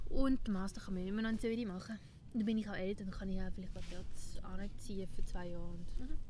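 A woman with a Swiss accent, lively intonation and a fairly quick pace, with audible room echo. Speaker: podcast host. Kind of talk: casual chat. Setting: outdoors.

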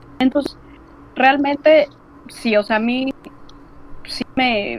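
Against noticeable background noise, a woman speaks at a very slow pace. Her voice is high-pitched, with ordinary pitch variation. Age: 30s. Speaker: illustrator and language student. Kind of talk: casual interview. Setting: video call.

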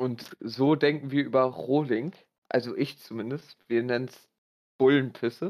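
A man with a medium-pitched voice speaks fairly slowly, with ordinary pitch variation and big swings in loudness. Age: 20s. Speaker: podcast guest. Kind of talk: casual chat. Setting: online voice call.

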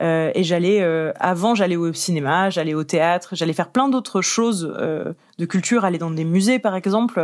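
A plain, everyday voice at a fairly slow pace, with ordinary pitch variation. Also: woman, fairly low pitch for a woman. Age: 20s. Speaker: arts outreach officer. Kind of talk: interview.

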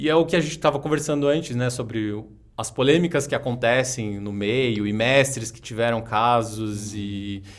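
Delivered at a moderate pace in a normal speaking voice, the speech has ordinary pitch variation and big swings in loudness. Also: man, medium pitch for a man. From Jacareí, interior of São Paulo state, Brazil. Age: 30s. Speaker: yoga teacher and martial artist. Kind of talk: casual interview.

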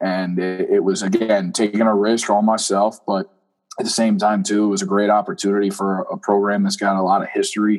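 Music plays in the background as a man speaks fairly quickly in a fairly low, monotone, flat voice. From South Jersey. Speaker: college football coach. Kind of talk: casual interview. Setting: on a recruiting visit, remote.

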